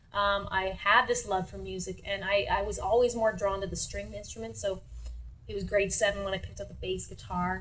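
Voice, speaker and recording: A woman talks at a fairly quick pace in a Canadian accent, her loudness swinging widely. There is noticeable background noise and audible room echo. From Sudbury, Ontario, Canada. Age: 30s. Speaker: singer-songwriter. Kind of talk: interview.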